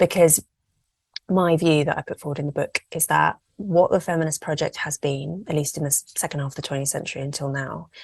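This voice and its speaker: A somewhat breathy woman with an English accent, a very deep, low pitch and fairly even intonation, in a dry, close sound with no echo. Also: fairly quick pace. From England. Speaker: journalist and campaigner. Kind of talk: podcast interview.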